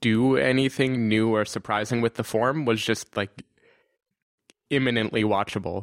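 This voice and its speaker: An ordinary speaking voice from a man, medium in pitch, with fairly even intonation and a moderate pace. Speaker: podcast host. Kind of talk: casual chat.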